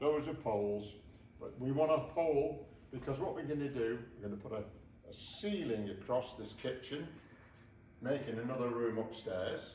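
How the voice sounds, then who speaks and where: With noticeable background noise and audible room echo, a man speaks at a moderate pace and medium pitch, with ordinary pitch variation and long, frequent pauses. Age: 80s+. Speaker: DIY renovator. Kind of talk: casual chat.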